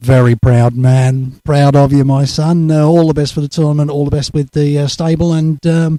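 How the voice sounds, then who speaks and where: Hardly pausing, a man with a fairly high pitch and a dark, mellow tone speaks at a moderate pace in a flat monotone. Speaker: darts interviewer. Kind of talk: interview. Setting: darts tournament venue.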